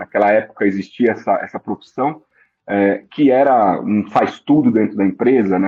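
A man talks at a moderate pace. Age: 40s. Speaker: business executive. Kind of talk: interview. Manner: hesitant with filler words.

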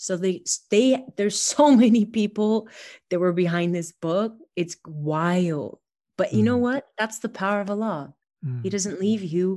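In a Californian accent, a woman speaks at a fairly slow pace with a medium pitch and a dark, mellow tone. Her intonation is lively, and the background is quiet. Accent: general American (Californian). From California, US. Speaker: bestselling author. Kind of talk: casual interview conversation.

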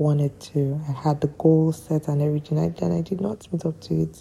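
Soft-spoken and somewhat breathy, a woman talks with a very deep, low pitch and a dark, mellow tone. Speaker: podcaster. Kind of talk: casual monologue. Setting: at home late at night. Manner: quiet, soft-spoken.

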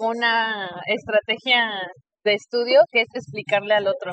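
At a fairly slow pace, a woman talks at a fairly high pitch in an ordinary speaking voice. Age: 30s. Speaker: nurse and podcast host. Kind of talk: casual interview. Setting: in person recording.

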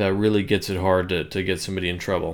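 This man speaks with an American accent at a fairly low pitch. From US West, Bishop, California. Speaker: podcast host. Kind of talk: solo commentary monologue.

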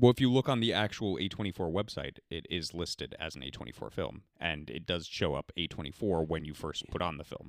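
Speaking at a fairly quick pace with hardly any pauses, a man with a very deep, low pitch uses lively intonation, vocal fry and big swings in loudness. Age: 30s. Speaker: podcast host. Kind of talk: casual chat.

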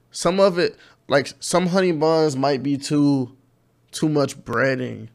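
Fairly slow, fairly even speech from a man with a fairly high pitch, on a very clean recording with a silent background. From inner-city Cleveland, Ohio. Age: 20s. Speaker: YouTuber, college student. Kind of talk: casual interview.

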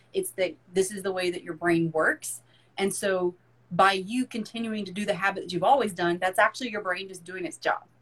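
A plain, everyday voice from a woman, medium in pitch, at a fairly quick pace with big swings in loudness. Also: ordinary pitch variation. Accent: American. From US South, rural. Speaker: fitness and mindset coach. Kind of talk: casual interview chat.

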